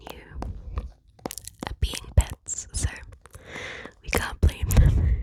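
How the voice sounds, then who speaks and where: The speaker is whispering at a fairly slow pace. Noticeable background noise is present. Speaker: ASMR creator. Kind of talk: ASMR whispered rambling. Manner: whispered.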